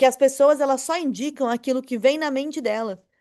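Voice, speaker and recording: Against a quiet background, a woman with a high pitch and an animated tone speaks at a moderate pace with ordinary pitch variation. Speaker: online marketing teacher. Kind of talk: online lecture. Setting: recorded video class.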